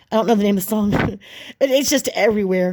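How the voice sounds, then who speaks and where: This woman's pitch sits fairly high. Her tone is dark and mellow. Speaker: vlogger. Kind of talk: casual vlog monologue. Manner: fast.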